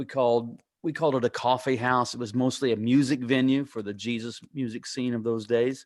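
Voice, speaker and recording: A man speaks at a fairly quick pace in a plain, everyday voice, medium in pitch with fairly even intonation. The recording is very clean, with a silent background. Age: 60s. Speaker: pastor and author. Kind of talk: interview.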